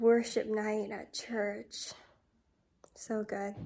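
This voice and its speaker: Here a woman speaks at a very slow pace in a medium pitch. The recording is very clean with a silent background. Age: 20s. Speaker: lifestyle vlogger. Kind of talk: personal vlog monologue. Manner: reflective.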